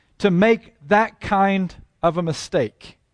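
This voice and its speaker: No echo touches this dry, close sound. Behind it, all is quiet. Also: man. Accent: American. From Texas and Oklahoma. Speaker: preacher. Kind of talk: sermon. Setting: church.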